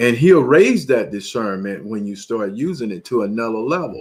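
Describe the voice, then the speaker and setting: A man with an ordinary speaking voice, lively intonation, and a moderate pace. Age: 60s. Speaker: preacher. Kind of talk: sermon.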